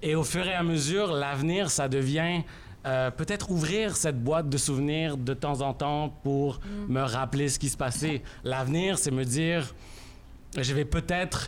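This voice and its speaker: Audible room echo surrounds a man speaking at a fairly slow pace. His pitch is fairly high with ordinary variation, and his loudness stays very even. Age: 30s. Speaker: journalist and columnist. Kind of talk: reading aloud. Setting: stage with audience.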